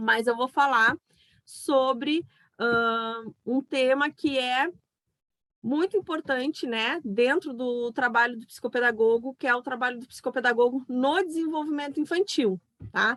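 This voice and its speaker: A woman talks loudly at a high pitch that varies in an ordinary way. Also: fairly slow pace, dry, close sound with no echo. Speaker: psychopedagogue and online event host. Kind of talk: online talk.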